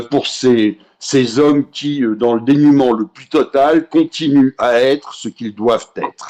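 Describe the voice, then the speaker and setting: This man's voice sits at a fairly high pitch. He speaks at a very slow pace. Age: 50s. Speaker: association president. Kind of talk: casual chat.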